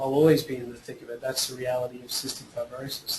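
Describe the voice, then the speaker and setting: Against noticeable background noise, a man with an Australian accent talks at a medium pitch and a fairly quick pace. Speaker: actor and filmmaker with cystic fibrosis. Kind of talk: webinar interview. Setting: online webinar. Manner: halting, many repetitions and fillers.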